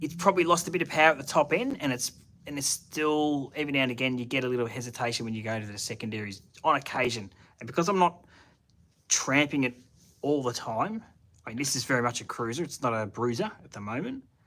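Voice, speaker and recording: At a very fast pace, a man with a strong Australian accent speaks in a medium pitch with lively intonation, a bright, sharp tone and big swings in loudness. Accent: broad Australian. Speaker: car hobbyist YouTuber. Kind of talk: live stream chat with viewers. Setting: home shed, live stream. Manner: casual, halting with fillers.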